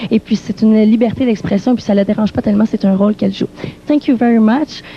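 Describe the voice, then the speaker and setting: With a Quebec French accent, the speaker talks very fast with very even loudness and fairly even intonation, dry and close with no echo, over noticeable background noise. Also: woman, fairly high pitch for a woman. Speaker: TV music show interviewer. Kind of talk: backstage interview with live translation. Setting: backstage dressing rooms.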